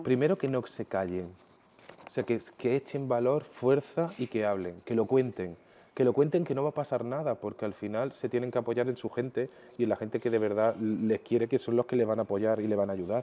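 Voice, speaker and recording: An ordinary speaking voice, fairly quick in pace, its pitch varying in an ordinary way. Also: man, medium pitch for a man. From Jaén, Andalusia, Spain. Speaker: fashion designer. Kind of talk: interview answer.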